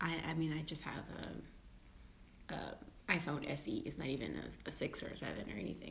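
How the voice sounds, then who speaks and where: A woman whispers at a fairly quick pace, with long, frequent pauses. Audible echo from the room surrounds her voice. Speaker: vlogger. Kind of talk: casual vlog monologue. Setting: at home, live video. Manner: halting, repeated words; whispering.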